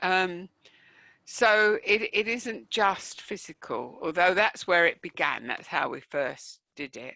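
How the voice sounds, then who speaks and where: Speaking very slowly with a London accent, a woman at medium pitch has a bright, sharp tone and vocal fry. Her intonation is lively, and her loudness swings widely. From East London, England. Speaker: professor, online learning expert. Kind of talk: Q&A at online conference talk. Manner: hesitant, many fillers.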